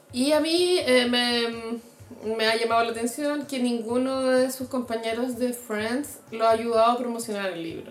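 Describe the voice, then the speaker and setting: Through noticeable background noise, a woman with a Chilean accent speaks at a high pitch and a fairly slow pace, with fairly even intonation and hardly any pauses. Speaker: podcast co-host. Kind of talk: casual chat.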